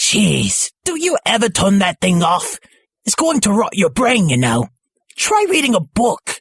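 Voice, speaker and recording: The speaker uses a put-on character voice with a fairly high pitch at a moderate pace. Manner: annoyed, nagging.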